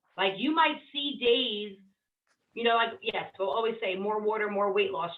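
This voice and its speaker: A woman talks at a moderate pace in a normal speaking voice. Her pitch is fairly high, with ordinary variation. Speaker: weight loss coach. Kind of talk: group coaching session.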